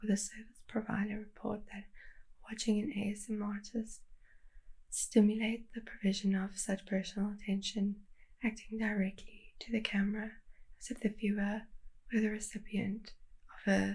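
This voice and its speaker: A woman talks at a moderate pace in a monotone, flat intonation, somewhat breathy. Her pauses are long and frequent. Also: fairly high pitch for a woman. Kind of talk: ASMR soft spoken chat to camera.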